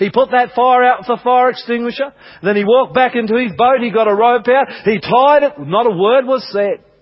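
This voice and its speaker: This man speaks in an extremely high pitch for a man with an Australian accent and ordinary pitch variation. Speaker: pastor. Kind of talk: sermon. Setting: church.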